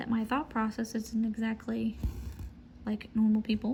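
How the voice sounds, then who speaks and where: Dark and mellow in tone, a woman speaks somewhat breathy, with monotone, flat intonation. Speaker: cross-stitch vlogger. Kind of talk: casual stitch-along chat.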